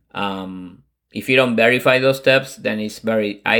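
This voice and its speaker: A man's fairly low voice with a Spanish accent and fairly even intonation, on a very clean recording with a silent background. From Argentina, Buenos Aires. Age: 40s. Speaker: Salesforce consultant and business founder. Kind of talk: interview.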